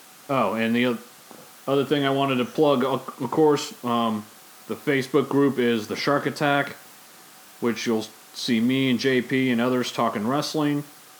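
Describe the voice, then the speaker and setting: With noticeable background noise behind him, a man talks fairly slowly at a medium pitch, keeping his intonation fairly even and leaving long, frequent pauses. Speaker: podcast host. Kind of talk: casual chat. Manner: casual, conversational.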